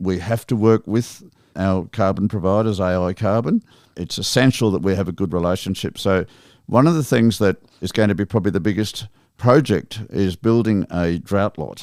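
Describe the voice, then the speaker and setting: A man with an Australian accent and fairly low pitch speaks at a moderate pace with ordinary pitch variation in a very clean recording with a silent background. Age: 60s. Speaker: sheep station manager. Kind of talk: podcast interview.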